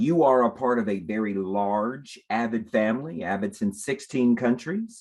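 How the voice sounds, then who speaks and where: A man of medium pitch with a slight South Texas accent speaks with ordinary pitch variation. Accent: slight Southern Texas. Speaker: education program director. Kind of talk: career panel talk.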